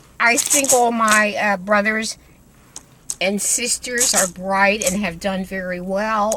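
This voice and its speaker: Amid noticeable background noise, a woman with an American accent speaks at a fairly slow pace, medium pitch and fairly even intonation. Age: 80s+. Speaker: retired family elder. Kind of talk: interview. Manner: halting, repeats words.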